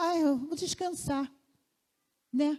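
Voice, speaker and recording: This woman's voice has a dark, mellow tone and ordinary pitch variation. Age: 50s. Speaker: lay preacher. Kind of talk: sermon. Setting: church.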